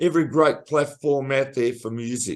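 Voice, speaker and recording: A man with an Australian accent at a fairly slow pace, with fairly even intonation against a quiet background. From Australia, Melbourne. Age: 60s. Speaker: singer-songwriter. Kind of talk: interview.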